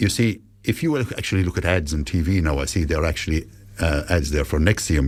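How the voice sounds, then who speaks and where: Over noticeable background noise, a man with a very deep, low pitch talks at a very fast pace with lively intonation. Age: 60s. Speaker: cancer patient ambassador, retired nurse. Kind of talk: radio interview.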